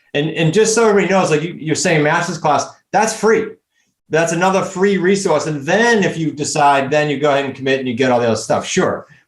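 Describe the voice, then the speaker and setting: A man with a New England accent speaks at a very fast pace, his fairly high pitch showing ordinary variation. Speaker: real estate coach. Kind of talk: interview. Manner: animated.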